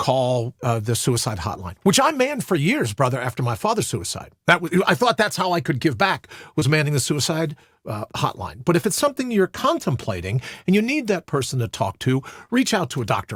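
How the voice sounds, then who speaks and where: A fairly high-pitched man with vocal fry and very wide pitch swings, at a fairly quick pace, in a very clean recording with a silent background and a dry, close sound with no echo. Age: 60s. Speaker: suicide prevention advocate. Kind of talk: interview conversation. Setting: studio.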